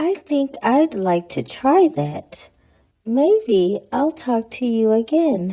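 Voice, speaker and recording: In a cartoonish character voice that sounds female, the speaker uses a high pitch and very wide pitch swings at a very slow pace. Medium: puppet. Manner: soft-spoken, gentle.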